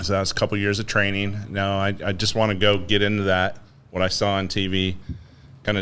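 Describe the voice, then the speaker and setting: There is audible room echo around this man's voice. He talks at a fairly quick pace with a fairly low pitch. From northern Idaho, childhood partly in Philippines and Japan. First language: Tagalog. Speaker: business executive, navy veteran. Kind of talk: podcast interview.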